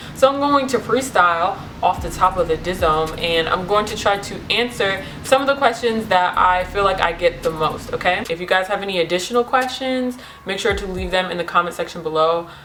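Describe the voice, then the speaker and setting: Over noticeable background noise, the speaker talks at a fairly quick pace in an animated tone with lively intonation. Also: woman, medium pitch for a woman. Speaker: beauty vlogger. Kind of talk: casual vlog. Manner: loud.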